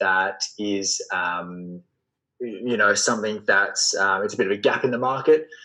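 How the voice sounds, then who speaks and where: Speaking with an Australian accent, a man keeps a fairly slow pace. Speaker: entrepreneur and sales coach. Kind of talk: podcast interview.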